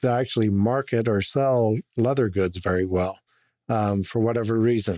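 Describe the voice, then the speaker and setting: A dark, mellow tone comes with an American accent and ordinary pitch variation. The sound is dry and close with no echo. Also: man. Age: 50s. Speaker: business owner. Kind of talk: casual chat.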